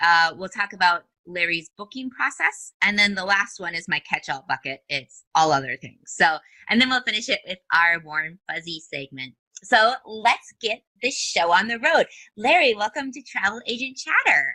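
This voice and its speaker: A woman with a bright, sharp tone and a medium pitch speaks at a moderate pace, with big swings in loudness and very wide pitch swings, in a dry, close recording with no echo. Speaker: podcast host. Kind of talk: interview.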